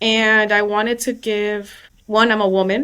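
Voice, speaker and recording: A woman with an American accent and a monotone, flat intonation. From New York City. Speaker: personal injury lawyer. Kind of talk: casual interview.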